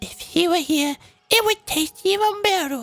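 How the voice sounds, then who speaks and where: A woman performs a put-on character voice. Faint music plays in the background. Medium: solo performance. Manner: bubbly.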